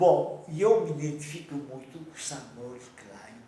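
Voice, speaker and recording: A man with a fairly high pitch talks at a very slow pace. Audible room echo and noticeable background noise fill the recording. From Romania. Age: 90s. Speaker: Holocaust survivor. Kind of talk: interview testimony.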